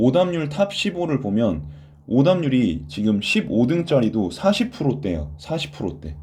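A man talks at a very slow pace with vocal fry and a medium pitch. His pitch swings very widely, and the room echo is audible. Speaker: Korean language exam tutor. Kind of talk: online lecture. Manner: stammering.

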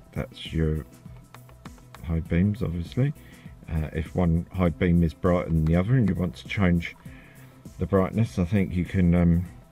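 A man with a very deep, low pitch talks at a moderate pace with ordinary pitch variation and long, frequent pauses while music plays in the background. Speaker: car hobbyist. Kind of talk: screen-recorded software tutorial. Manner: hesitant, lots of fillers.

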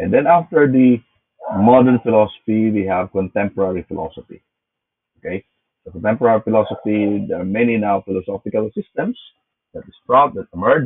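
The setting is quiet. This man's speech comes fairly quickly, and his pitch varies in an ordinary way. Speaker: philosophy lecturer. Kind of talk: lecture. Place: home room. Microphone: webcam.

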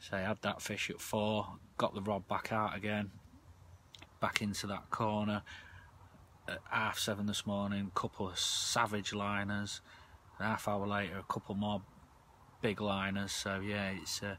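Speaking at a fairly slow pace with long, frequent pauses, a man uses a fairly low pitch and a bright, sharp tone in monotone, flat intonation, with a dry sound with no echo and light background noise. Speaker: angler vlogger. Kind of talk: casual vlog chat. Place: tent. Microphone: phone near.

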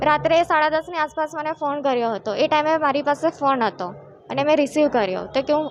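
Her pitch is high, and this woman varies it in an ordinary way. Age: 20s. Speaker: complainant in abuse case. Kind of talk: testimony. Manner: halting.

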